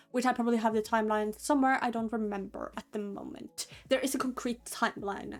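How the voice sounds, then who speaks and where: With music in the background, a woman speaks at a fairly quick pace and with fairly even intonation. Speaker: content creator. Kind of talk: casual rant explaining character lore. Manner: hesitant, says um a lot.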